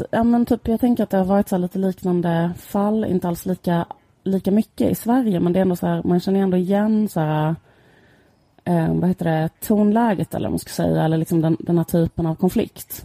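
A woman speaks fairly quickly in a dark, mellow tone at a medium pitch with ordinary pitch variation. The sound is dry and close with no echo. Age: 30s. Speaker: podcast co-host. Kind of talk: casual chat.

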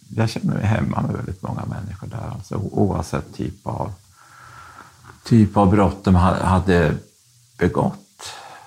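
A man's very deep, low voice with vocal fry, ordinary pitch variation, a fairly slow pace and long, frequent pauses. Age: 60s. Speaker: convicted fraudster, former publisher. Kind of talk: interview.

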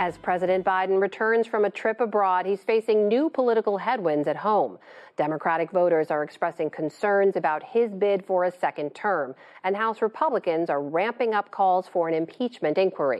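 A woman speaks at a medium pitch in an ordinary speaking voice, her loudness very even. Her intonation is lively and her pace fairly quick. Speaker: news anchor. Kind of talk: news interview.

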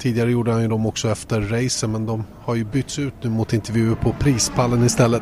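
A man talks at a fairly quick pace in a medium pitch. He speaks with a Swedish accent. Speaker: podcast host. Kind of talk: casual interview. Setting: on location at a race track.

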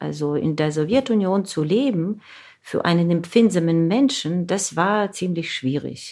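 A woman's dark, mellow, fairly low voice in a Russian accent, with lively intonation. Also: fairly slow pace. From Ukraine, Zaporizhzhia. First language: Russian (speaking German). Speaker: novelist and translator. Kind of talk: interview.

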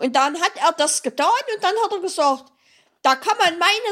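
The voice is raised and projected, with a bright, sharp tone. Its intonation is lively and its pace moderate. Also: woman. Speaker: author and awareness advocate. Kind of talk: interview. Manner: halting, with many repeated words.

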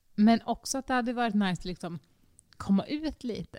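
A woman's fairly high, dark, mellow voice with lively intonation at a moderate pace, dry and close with no echo. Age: 20s. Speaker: podcast co-host. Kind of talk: casual chat. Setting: recording in an echoey, sparsely furnished dining room.

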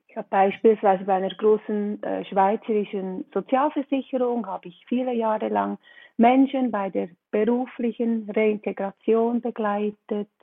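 A woman speaks at a moderate pace with a fairly high pitch. Her intonation stays fairly even while her loudness swings widely. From Switzerland. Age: 50s. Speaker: relaxation coach, trained nurse. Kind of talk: interview podcast.

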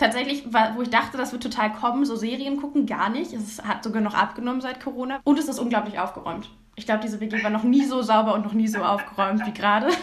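A woman with a fairly high pitch talks at a very fast pace with ordinary pitch variation, over noticeable background noise and audible room echo. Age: 20s. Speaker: climate activist and student. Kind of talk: casual interview. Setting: video call. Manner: hesitant, many fillers.

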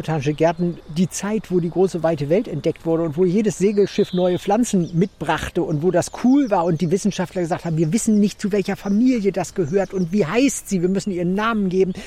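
This man speaks at a high pitch in a dark, mellow tone, with ordinary pitch variation. His pace is fairly quick, with hardly any pauses. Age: 50s. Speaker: botanist and garden curator. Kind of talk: interview while walking through a botanical garden.

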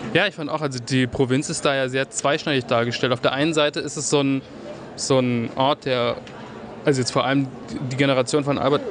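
Speaking at a fairly quick pace with fairly even intonation, a man with a fairly high pitch is heard over noticeable background noise. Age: 20s. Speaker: radio host. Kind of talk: interview.

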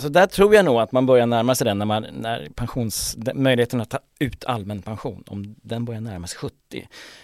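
A man with a normal speaking voice, medium pitch, lively intonation and a fairly quick pace, in a dry, close sound with no echo. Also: very clean recording, silent background. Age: 60s. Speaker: financial journalist and author. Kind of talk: casual discussion.

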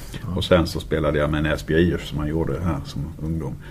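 A man speaks at a moderate pace in a very deep, low voice with monotone, flat intonation. Noticeable background noise and audible room echo fill the recording. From Skåne. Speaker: handball club sporting director. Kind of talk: casual interview. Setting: club office, same room.

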